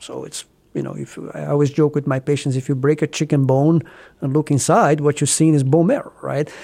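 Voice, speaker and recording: The tone is dark and mellow, carrying a Brazilian accent, in a very clean recording with a silent background. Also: man. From southeast Brazil. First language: Portuguese. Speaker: cancer physician. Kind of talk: interview.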